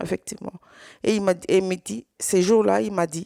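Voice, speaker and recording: A woman with a Swahili accent at a moderate pace, in a dry, close sound with no echo. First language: Swahili (speaking French). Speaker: survivor giving testimony. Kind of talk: testimony. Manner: halting, repeated words.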